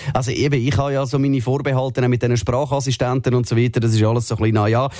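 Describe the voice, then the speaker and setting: Noticeable noise fills the background. The speech races at a very fast pace. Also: man. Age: 30s. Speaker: radio host. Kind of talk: casual chat. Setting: radio studio.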